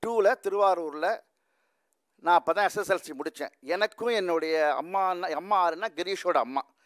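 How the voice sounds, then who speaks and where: A man talks with a high pitch and ordinary pitch variation in a quiet setting. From Tamil Nadu, Thiruvarur; Tamil Nadu, India. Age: 60s. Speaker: musician; speaker. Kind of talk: speech. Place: hall. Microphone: podium.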